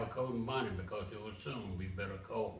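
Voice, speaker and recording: The speech moves at a moderate pace in a Southern US accent. Noticeable background noise runs beneath it. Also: man. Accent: Southern American. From Memphis, Tennessee. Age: 80s+. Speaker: author. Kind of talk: poetry reading.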